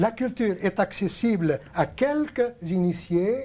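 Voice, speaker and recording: His voice carries a dark, mellow tone. The man's intonation rises and falls in a lively way. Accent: Arabic. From Lebanon. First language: Arabic (speaking French). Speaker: TV host, painting teacher. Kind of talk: televised talk to viewers, unscripted lecture. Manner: hesitant, many fillers.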